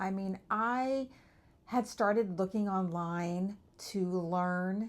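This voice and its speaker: A woman at a medium pitch with fairly even intonation. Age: 50s. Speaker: vlogger documenting online business journey. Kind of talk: personal video update. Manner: casual, conversational with some stumbles.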